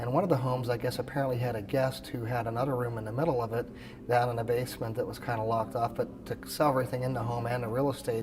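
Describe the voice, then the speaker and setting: Very fast, monotone speech from a man at medium pitch, with flat intonation over noticeable background noise. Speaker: expert auctioneer. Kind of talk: interview answer. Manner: conversational, with filler words.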